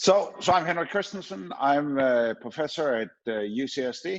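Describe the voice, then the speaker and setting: With a slight Danish accent, a man talks in very wide pitch swings. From Denmark. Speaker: professor. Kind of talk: conference talk. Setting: online conference with screen sharing. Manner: hesitant with filler words.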